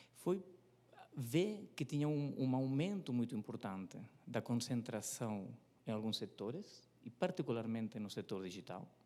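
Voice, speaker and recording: A man speaks at a fairly slow pace with a non-native accent, his voice medium in pitch. His tone is dark and mellow, and his pitch swings very widely. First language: not Portuguese (speaking Portuguese). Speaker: competition economist. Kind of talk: presentation at a seminar. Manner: hesitant, many fillers.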